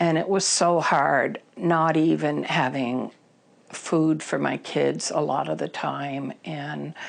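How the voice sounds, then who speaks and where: Noticeable background noise sits behind this voice. A woman with an American accent speaks at a very slow pace. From Vermont, US. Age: 60s. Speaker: person in recovery. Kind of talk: testimony. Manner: halting.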